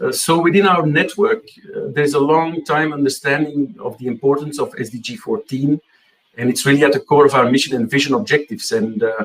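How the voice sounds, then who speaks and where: With a Dutch accent, a man talks at a fairly quick pace, his fairly high pitch rising and falling in lively intonation. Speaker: marine data network representative. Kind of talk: conference presentation. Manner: hesitant, many fillers.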